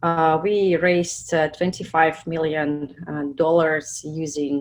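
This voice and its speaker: A woman with a Russian accent speaks at a fairly slow pace in a fairly low pitch. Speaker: product manager. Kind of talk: webinar presentation. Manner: halting, many fillers.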